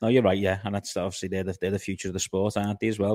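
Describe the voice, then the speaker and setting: A man with a Liverpool accent, very fast pace, fairly low pitch, dark, mellow tone and monotone, flat intonation, on a very clean recording with a silent background. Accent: Scouse. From Liverpool, England. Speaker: podcast host. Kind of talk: casual interview.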